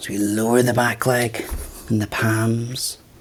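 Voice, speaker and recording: A man's calm tone over noticeable background noise. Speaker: yoga teacher. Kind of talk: guided yoga class. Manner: calm instructional pacing.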